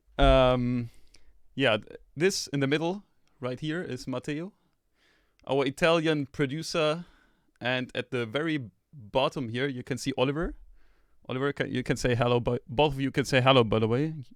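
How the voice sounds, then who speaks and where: A man with a non-native accent at a medium pitch and moderate pace, ordinary pitch variation, long, frequent pauses, and a dry, close sound without echo. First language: not English. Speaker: sample label host. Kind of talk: live stream contest feedback. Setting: live stream video call. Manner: casual, many fillers and restarts.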